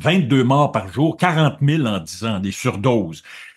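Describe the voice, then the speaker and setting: A man with a Quebec accent speaks at a medium pitch in an animated tone, somewhat breathy, on a very clean recording with a silent background. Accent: Québécois French. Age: 70s. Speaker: journalist. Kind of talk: interview conversation. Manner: animated, with frequent repetitions and hesitations.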